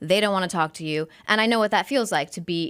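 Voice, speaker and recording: Racing at a very fast pace, a woman speaks at medium pitch with ordinary pitch variation on a very clean recording with a silent background. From El Paso, Texas (US-Mexico border). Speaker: sports broadcaster. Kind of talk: casual podcast interview. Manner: clear careful enunciation.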